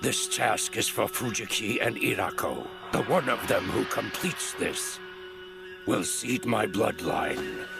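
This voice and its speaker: Over loud music in the background, a man does a put-on character voice at a fairly slow pace. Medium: dub.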